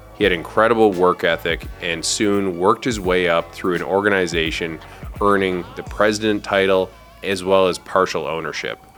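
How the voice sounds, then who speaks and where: There is music in the background as a man speaks. His very deep, low voice moves at a moderate pace. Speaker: podcast host. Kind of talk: podcast intro narration.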